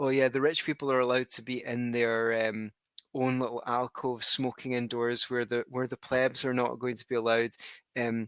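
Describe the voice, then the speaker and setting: With a Scottish accent, a bright, sharp voice speaks in a flat monotone, recorded dry and close with no echo. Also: man. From Scotland. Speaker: podcast host. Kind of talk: interview podcast. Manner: halting.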